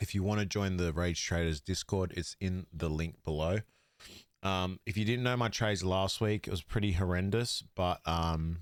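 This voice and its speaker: In an Australian accent, a man speaks with a very deep, low pitch and fairly even intonation. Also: very clean recording, silent background. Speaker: fantasy sports podcaster. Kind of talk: casual podcast monologue.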